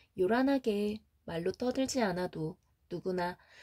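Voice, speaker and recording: Very slow, lively intonation and a dark, mellow tone, on a very clean recording with a silent background. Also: woman. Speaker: audiobook reader. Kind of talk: sleep audiobook reading. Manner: soft-spoken.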